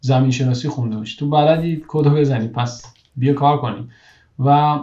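A man with a fairly high pitch and a dark, mellow, somewhat breathy tone speaks at a fairly quick pace with fairly even intonation. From Iran. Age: 30s. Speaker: engineering manager. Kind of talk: interview conversation.

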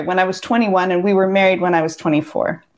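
Here a woman talks with a West Coast accent. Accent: American West Coast. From US Pacific Northwest, Seattle. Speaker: divorce coach. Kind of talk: casual interview. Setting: video call.

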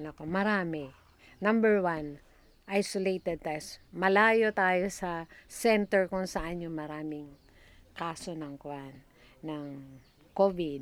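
Recorded very cleanly against a silent background, a woman speaks at a very slow pace and a fairly low pitch, with ordinary pitch variation, big swings in loudness, and long, frequent pauses. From Batanes, Philippines (Itbayat). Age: 60s. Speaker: retired nurse. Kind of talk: interview.

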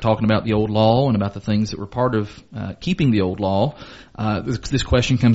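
Someone reads in an unforced voice.

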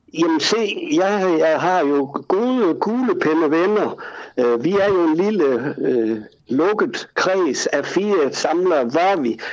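A high-pitched man talks at a very slow pace. His intonation is lively while his loudness stays very even. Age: 70s. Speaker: collector. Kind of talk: casual chat. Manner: halting.

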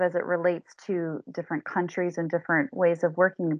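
With a Canadian accent, a woman uses an unremarkable speaking voice at medium pitch and a moderate pace. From southern Ontario, Canada. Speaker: change management consultant. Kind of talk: interview.

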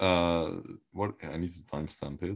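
Against a quiet background, a man talks in a very deep, low pitch. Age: 20s. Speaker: crypto podcast co-host. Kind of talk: casual chat.

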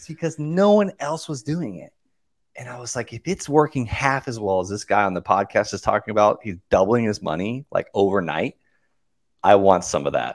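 In a very clean recording with a silent background and a dry, close sound with no echo, a man with an American accent speaks at a medium pitch and a moderate pace, his pitch swinging very widely and his loudness swinging a lot. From US South, Okeechobee, Florida. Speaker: real estate investor and coach. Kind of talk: casual interview.

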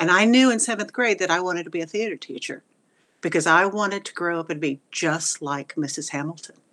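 Speaking with a Texan accent at a fairly quick pace, a woman uses a fairly low pitch, a bright, sharp tone and ordinary pitch variation. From Texas, Wichita Falls. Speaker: retired theater teacher. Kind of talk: interview.

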